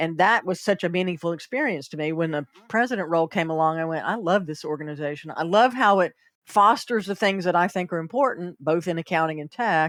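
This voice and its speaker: In a Southern US accent, a woman speaks very fast in a fairly low voice with ordinary pitch variation, on a very clean recording with a silent background. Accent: Southern US, noticeable. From US South, South Carolina. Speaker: accountant and consultant. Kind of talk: podcast interview.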